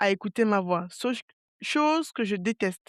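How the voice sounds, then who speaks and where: A woman speaks fairly slowly at a medium pitch, in a dry, close sound with no echo on a very clean recording with a silent background. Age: 30s. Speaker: podcast host. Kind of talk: casual solo podcast monologue. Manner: calm, not very dynamic; hesitant, many fillers.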